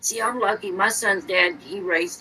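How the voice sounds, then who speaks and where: A woman with an American accent at medium pitch and fairly quick pace, lively intonation, and noticeable background noise. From Indiana. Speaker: podcast guest. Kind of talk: casual chat.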